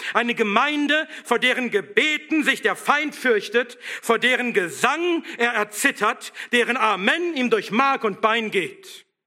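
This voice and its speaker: A man talks at an extremely high pitch in a raised, projected voice with a bright, sharp tone. His pace is very slow, with ordinary pitch variation and very even loudness. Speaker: pastor. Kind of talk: sermon, fiery and combative, rallying the congregation to stand firm. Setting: church. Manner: forceful, emphatic, exhorting; rousing, militant, driving rhetorical questions.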